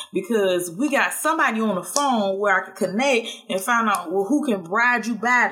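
Against noticeable background noise, a woman with a fairly high voice speaks at a moderate pace with lively intonation. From US South, Georgia (Statesboro). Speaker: podcast host. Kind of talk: casual monologue.

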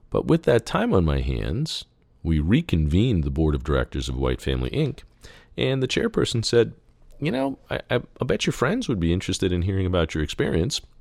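With a very deep, low pitch and vocal fry, this man's voice swings very widely in pitch. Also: fairly quick pace, very clean recording, silent background. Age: 50s. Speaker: ophthalmologist podcast host. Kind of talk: solo podcast monologue. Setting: studio with microphone.

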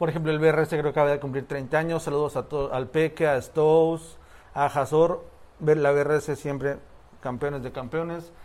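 A man's fairly high voice holds a monotone, flat intonation at a moderate pace. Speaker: graffiti storyteller, podcast co-host. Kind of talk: storytelling.

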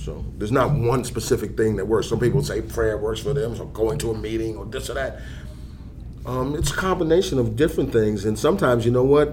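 Speaking very fast with an American accent, a man is heard over noticeable background noise and audible room echo. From New York (Harlem). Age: 60s. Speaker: substance abuse counselor. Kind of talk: casual chat.

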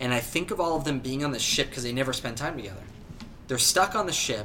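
An animated, very fast delivery with ordinary pitch variation. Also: man. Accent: Southern Californian. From Southern California, San Diego. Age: young. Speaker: entrepreneur, company founder. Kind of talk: casual interview chat.

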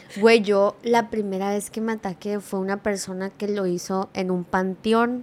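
With hardly any pauses, a woman speaks at a fairly slow pace and medium pitch, her intonation monotone and flat. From California, US (Mexican-American). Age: 20s. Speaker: social media creator. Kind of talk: casual chat. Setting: studio.

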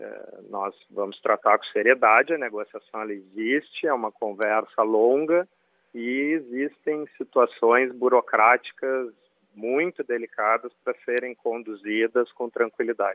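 A man with an ordinary speaking voice talks at a fairly slow pace, his pitch medium with ordinary variation. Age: 40s. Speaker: football club director. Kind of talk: radio interview. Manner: formal, measured.

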